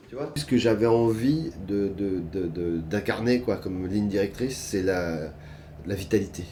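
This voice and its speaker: A man's fairly low voice at a fairly slow pace with ordinary pitch variation. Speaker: actor. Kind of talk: interview. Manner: loud.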